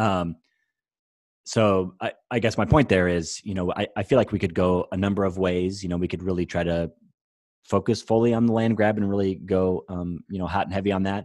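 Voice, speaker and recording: A man speaks in a very deep, low voice with a Midwestern American accent, at a fairly quick pace. His intonation stays fairly even, and the recording is very clean with a silent background. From US Midwest, Iowa. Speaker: agency general manager, designer. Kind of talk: casual interview. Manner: halting, many fillers and repetitions.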